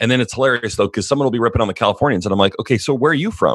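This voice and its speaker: A man speaks with ordinary pitch variation. The sound is dry and close with no echo, against a quiet background. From Canada. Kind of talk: casual chat, interview.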